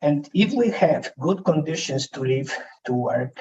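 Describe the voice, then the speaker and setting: A man with a fairly high pitch speaks in a Polish accent. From Poland. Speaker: conference speaker. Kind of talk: presentation. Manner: soft-spoken.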